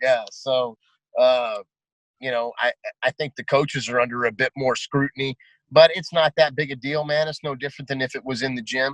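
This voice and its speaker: A man's medium-pitched voice comes through with a dry, close sound and no echo. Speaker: MMA coach. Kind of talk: casual chat. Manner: loud; animated.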